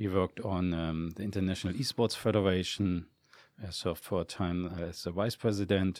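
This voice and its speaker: Speaking with a German accent, a man uses a very deep, low pitch and fairly even intonation at a moderate pace. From Germany. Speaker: esports executive. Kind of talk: interview. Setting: studio. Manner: halting.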